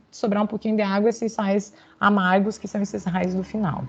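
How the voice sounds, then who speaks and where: Speaking at a fairly quick pace, a woman has a somewhat breathy voice. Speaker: university lecturer. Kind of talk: lecture.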